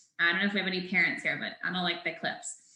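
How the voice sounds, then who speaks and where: A woman speaks with a bright, sharp tone and fairly even intonation. Room echo is audible. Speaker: startup founder presenting product. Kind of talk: webinar presentation. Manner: fast.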